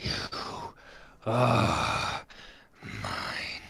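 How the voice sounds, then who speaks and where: This put-on character voice growls at a low pitch. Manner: menacing, snarling.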